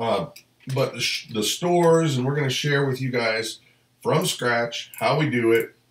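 Audible room echo fills the recording. A man talks at a fairly slow pace. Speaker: family channel host. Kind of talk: casual live stream chat. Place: home room.

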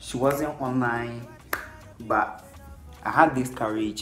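A man is heard talking while music sits faintly in the background. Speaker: vlogger. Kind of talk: casual vlog chat. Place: home room. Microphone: phone near.

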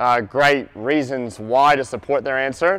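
At a moderate pace, a man is talking. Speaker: basketball coach presenter. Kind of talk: lecture. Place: hall.

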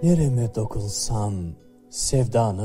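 With music in the background, the speaker uses lively intonation at a very slow pace. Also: man. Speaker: poetry reader. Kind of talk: poetry reading.

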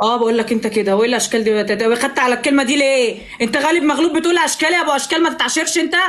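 Over noticeable background noise, a woman talks in an animated tone at a high pitch and a very fast pace, with hardly any pauses, very even loudness and ordinary pitch variation. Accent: Egyptian. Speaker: live streamer. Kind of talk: casual banter. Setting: video call. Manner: animated, teasing.

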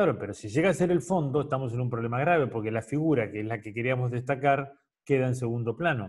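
The voice is somewhat breathy, with ordinary pitch variation over a quiet background. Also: man. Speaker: photography teacher. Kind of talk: lecture. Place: home room. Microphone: webcam.

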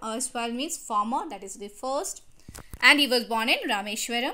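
Her tone is bright and sharp, with a high pitch for a woman and ordinary pitch variation at a moderate pace. Audible room echo surrounds the recording. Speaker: school teacher. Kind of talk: lecture. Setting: recorded online class video.

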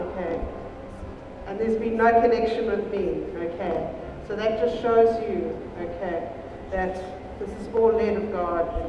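A woman at a fairly slow pace, with fairly even intonation, long and frequent pauses, audible room echo, and noticeable background noise. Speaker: deliverance minister. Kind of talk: sermon. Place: hall.

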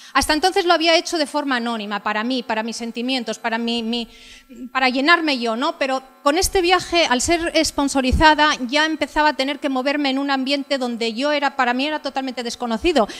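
A woman speaks at a fairly quick pace. Her pitch is high. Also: ordinary pitch variation. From Asturias, Villaviciosa; Asturias, Spain. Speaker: motorcycle adventurer and travel speaker; speaker. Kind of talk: talk with slides. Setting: stage with audience. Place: hall. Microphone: handheld.

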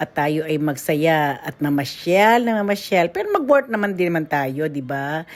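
Noticeable background noise sits behind a woman with a fairly low pitch. She speaks at a fairly slow pace in an animated tone. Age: middle-aged. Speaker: vlogger. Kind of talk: casual vlog narration. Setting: outdoors.

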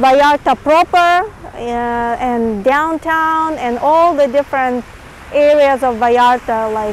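Her pitch is high, with ordinary pitch variation, as a woman speaks at a very slow pace. The sound is dry with no echo, over light background noise. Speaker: travel vlogger. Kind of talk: casual travel vlog commentary. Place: beach. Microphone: lapel.

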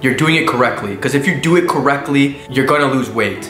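Over clear music in the background and audible room echo, a man speaks with fairly even intonation. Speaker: vlogger. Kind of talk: casual vlog chat. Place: home room.

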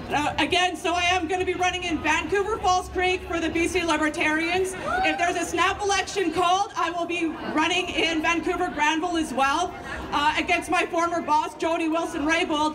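Fairly quick speech over crowd noise in the background. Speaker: candidate. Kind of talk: rally speech. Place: street. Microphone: pa.

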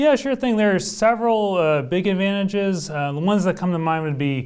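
A man with an American accent, ordinary pitch variation and a quiet background. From Oklahoma, small town. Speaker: hospital physician. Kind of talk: interview. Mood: calm, earnest. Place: studio. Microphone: lapel.

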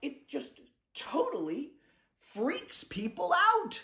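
A man is shouting. He goes at a very slow pace. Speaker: actor. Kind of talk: dramatic monologue self-tape, confessional and darkly comic. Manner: anxious, rambling confession with halting self-corrections; bursts into loud shouted outbursts. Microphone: phone near.

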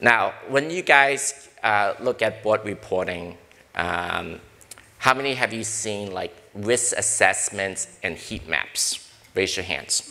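Very slowly, a man talks with lively intonation in an American accent. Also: medium pitch for a man. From US Northeast (Brooklyn, New York). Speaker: corporate board director and risk consultant. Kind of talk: panel discussion. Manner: direct. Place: hall. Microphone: lapel.

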